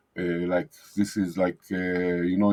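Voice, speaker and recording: A man with a non-native accent speaks at a moderate pace in a very deep, low pitch. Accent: noticeable foreign. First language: not English. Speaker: digital marketing agency owner. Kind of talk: screen-share tutorial. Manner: hesitant, many fillers.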